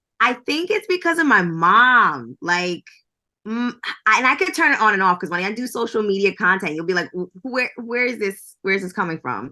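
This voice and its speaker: A woman with an American accent speaks at a moderate pace in a fairly high pitch, her tone bright and sharp. Her pitch swings very widely against a quiet background. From New York. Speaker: entertainment journalist. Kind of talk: podcast interview. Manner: casual, lots of fillers.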